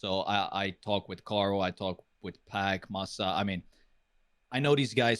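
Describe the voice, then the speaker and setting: Here a man speaks with a non-native accent. His pitch varies in an ordinary way. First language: not English. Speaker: retired esports pro and caster. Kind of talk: interview. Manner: hesitant, many fillers.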